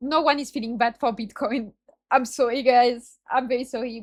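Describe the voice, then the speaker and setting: At a moderate pace, a woman with a strong non-native accent speaks at a fairly high pitch. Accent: self-described strong non-native. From France. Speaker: streamer reacting to videos. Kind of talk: casual reaction commentary. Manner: halting, self-correcting.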